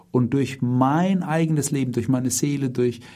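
The voice has a dark, mellow tone, is somewhat breathy, and moves at a moderate pace with ordinary pitch variation. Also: man. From Germany, Heidelberg. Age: 50s. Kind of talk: religious talk. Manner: calm, measured.

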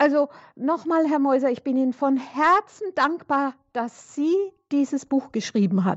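Her pitch high, a woman speaks at a fairly slow pace with lively intonation in a dry, close sound with no echo. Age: 70s. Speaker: radio caller. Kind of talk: call-in.

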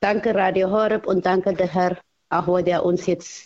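The voice belongs to a woman. Its pitch is medium. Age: 80s+. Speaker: caller. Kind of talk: call-in. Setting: phone call. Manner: halting.

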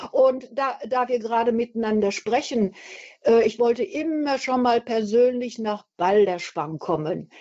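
A woman speaks at a fairly slow pace in a dark, mellow tone, her fairly high pitch moving with lively intonation. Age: 70s. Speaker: caller, retired nurse. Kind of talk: radio call-in.

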